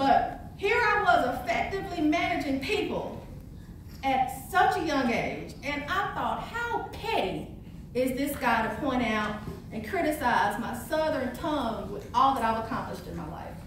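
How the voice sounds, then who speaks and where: A woman with an American accent, high-pitched, at a fairly slow pace, in very wide pitch swings, amid audible room echo and noticeable background noise. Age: 40s. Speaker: motivational speaker. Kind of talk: motivational speech. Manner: animated.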